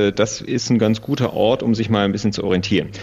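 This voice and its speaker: Noticeable background noise sits behind a man's voice. He speaks at a fairly low pitch in a flat monotone. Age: 30s. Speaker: sustainability consultant. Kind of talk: interview.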